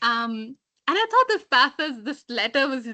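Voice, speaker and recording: A woman's high, bright, sharp voice, raised and projected, at a moderate pace over a quiet background. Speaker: book discussion participant. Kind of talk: book discussion.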